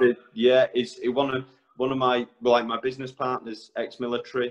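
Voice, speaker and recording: A man's medium-pitched voice stays monotone, with flat intonation. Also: moderate pace. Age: 30s. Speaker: electrician. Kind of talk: casual chat. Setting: podcast.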